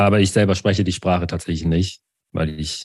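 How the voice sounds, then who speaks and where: A man talks at a moderate pace with a fairly low pitch and a dark, mellow tone. The sound is dry and close, with no echo. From Baden-Württemberg, village near Sinsheim. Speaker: IT consultant and social media educator. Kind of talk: casual interview. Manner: halting.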